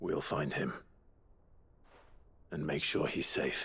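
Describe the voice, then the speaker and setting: Using a raspy, put-on character voice, a man delivers his lines fairly slowly. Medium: video game. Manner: earnest, steady.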